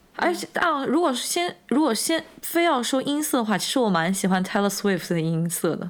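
Fairly high-pitched, a woman talks at a moderate pace with very wide pitch swings and hardly any pauses. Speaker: podcast co-host. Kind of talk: casual chat.

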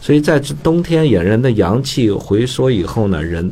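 A man at a moderate pace with very wide pitch swings over noticeable background noise. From northern China (Datong, Shanxi). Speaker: traditional Chinese medicine teacher. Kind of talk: casual educational radio talk. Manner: animated, many fillers and laughs.

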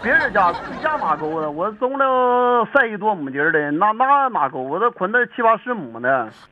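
A high-pitched man at a moderate pace with very wide pitch swings and hardly any pauses, over noticeable background noise. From Dalian area, Liaoning (northeast China). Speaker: farmer. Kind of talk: casual chat.

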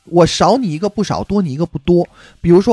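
Talking at a very fast pace, a man with a Beijing accent has a dark, mellow tone. The sound is dry and close with no echo, on a very clean recording with a silent background. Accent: Beijing accent, audible. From Beijing, grew up in the hutongs. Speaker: musician in a band, podcast guest. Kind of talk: casual chat.

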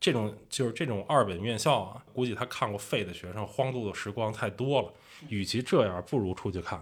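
Here a man speaks with a Beijing accent and lively intonation. The recording is very clean, with a silent background. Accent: Beijing Mandarin. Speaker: traveler and video creator. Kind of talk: casual storytelling. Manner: animated.

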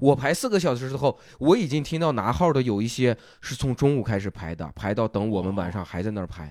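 Very clean recording of a man at a very fast pace with very wide pitch swings, silent background. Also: medium pitch for a man. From Shanxi, Taiyuan. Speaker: stand-up comedian and comedy writer. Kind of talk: casual chat.

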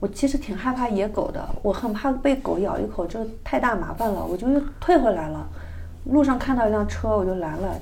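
Against noticeable background noise and audible room echo, a woman speaks at a fairly high pitch with lively intonation. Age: middle-aged. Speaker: traveler. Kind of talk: casual chat.

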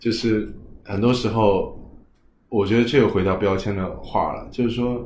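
The voice is a man's, medium in pitch and somewhat breathy. He shows ordinary pitch variation. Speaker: guest working in healthcare and education. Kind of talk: casual conversation. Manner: thoughtful, conversational, hesitant with fillers.

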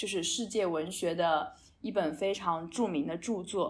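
A woman talks in a plain, everyday voice at a medium pitch and a fairly slow pace, with ordinary pitch variation. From China. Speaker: podcast co-host. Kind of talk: casual chat.

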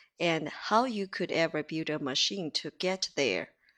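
A plain, everyday voice from a woman, fairly low in pitch with ordinary pitch variation, in a very clean recording over a silent background. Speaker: English teacher. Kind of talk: tutorial.

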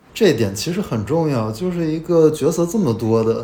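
At a moderate pace, a man talks with lively intonation. His is an unremarkable speaking voice. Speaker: film critic guest. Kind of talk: casual film discussion.

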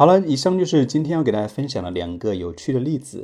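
Over a quiet background, a man with a dark, mellow tone talks at a fairly quick pace with lively intonation. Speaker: English pronunciation teacher. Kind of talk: podcast monologue lesson.

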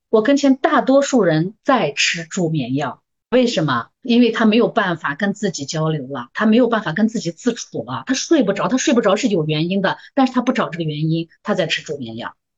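Talking at a fairly quick pace with hardly any pauses, a woman uses a medium pitch that swings very widely, and vocal fry creeps into her voice. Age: 50s. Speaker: medical worker. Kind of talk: casual chat.

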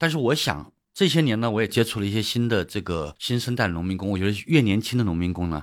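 In a very clean recording with a silent background, a man with a fairly low pitch and lively intonation talks very fast with hardly any pauses. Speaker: economist and author. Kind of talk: interview. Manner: halting.

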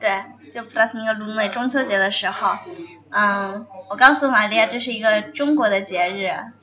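A woman with a fairly high pitch and ordinary pitch variation, at a moderate pace with long, frequent pauses, over noticeable background noise. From China. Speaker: student. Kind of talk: casual chat. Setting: cafe.

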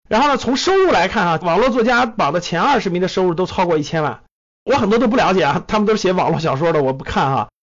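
A man talks very fast in a high-pitched voice with lively intonation. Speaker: investment podcast host. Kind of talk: solo monologue commentary. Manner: animated.

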